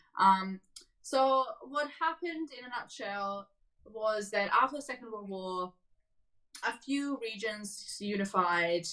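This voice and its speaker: A woman's medium-pitched voice, bright and sharp in tone, at a very slow pace, with lively intonation and big swings in loudness. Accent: Serbian. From Serbia. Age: 20s. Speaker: refugee interviewee. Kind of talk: casual interview chat.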